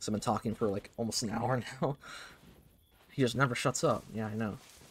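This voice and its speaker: At a fairly quick pace, a man talks in a somewhat breathy voice of medium pitch. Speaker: gaming streamer. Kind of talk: casual monologue. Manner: halting, repetitive.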